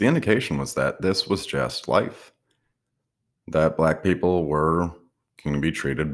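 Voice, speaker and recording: The speaker has an American accent and vocal fry. The recording is very clean, with a silent background. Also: man. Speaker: podcaster. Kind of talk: personal reflective monologue.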